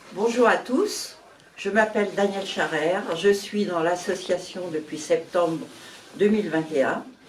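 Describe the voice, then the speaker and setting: A woman speaks at a fairly slow pace in a medium pitch with ordinary pitch variation. Audible room echo and noticeable background noise accompany her. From Paris, France. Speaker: association board candidate. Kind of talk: candidate self-presentation.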